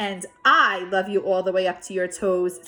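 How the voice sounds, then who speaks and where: A woman speaks in a put-on character voice. Her pitch sits in the medium range. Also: moderate pace. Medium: read story. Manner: gentle, warm, calm.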